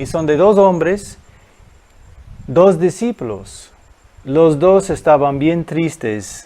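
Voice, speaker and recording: Very slow speech comes from a man with a non-native accent. His tone is dark and mellow. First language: not Spanish (speaking Spanish). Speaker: guest preacher. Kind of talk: sermon. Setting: recorded video at home. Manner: halting.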